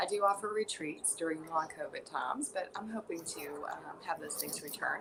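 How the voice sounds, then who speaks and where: A soft-spoken woman at a moderate pace. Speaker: yoga teacher. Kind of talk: guided meditation. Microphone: quiet audio, listeners told to turn volume up.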